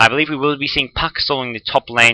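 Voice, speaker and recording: In an Australian accent, the speaker talks at a fairly quick pace with a bright, sharp tone, in a dry, close sound with no echo. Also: man. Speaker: esports commentator. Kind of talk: live commentary. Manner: fast.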